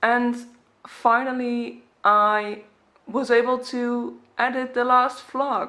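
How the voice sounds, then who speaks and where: A woman speaks very slowly in a high, bright, sharp voice with flat, monotone intonation, and the room echo is audible. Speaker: travel vlogger. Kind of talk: casual vlog talk to camera.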